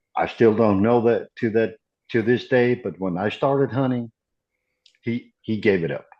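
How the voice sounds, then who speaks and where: At a moderate pace, a man speaks at medium pitch in an ordinary speaking voice. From Iceland, Reykjavik. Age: 50s. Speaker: hunter, podcast guest. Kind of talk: casual chat.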